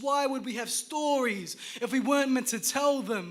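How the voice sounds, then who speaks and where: This man talks at a fairly slow pace. His pitch is extremely high. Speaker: spoken word poet. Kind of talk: performance poetry. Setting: live stage.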